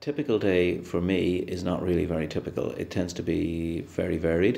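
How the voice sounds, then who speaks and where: A man's very deep, low voice with an Irish accent, dark and mellow in tone, at a fairly quick pace. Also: ordinary pitch variation. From west of Ireland. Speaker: plastic surgeon. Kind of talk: interview answers. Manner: halting.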